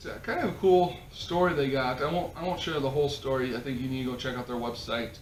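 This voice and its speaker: With an American accent, a man speaks very fast at a fairly high pitch with ordinary pitch variation and hardly any pauses, amid audible room echo and noticeable background noise. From South Dakota, near Minnesota border. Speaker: podcast host. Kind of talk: casual chat.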